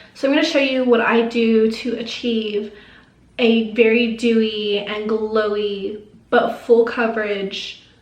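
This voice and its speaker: Over noticeable background noise and audible room echo, a woman speaks at a fairly high pitch in a monotone, flat delivery at a fairly slow pace. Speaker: beauty YouTuber. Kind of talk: makeup tutorial. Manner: casual, chatty.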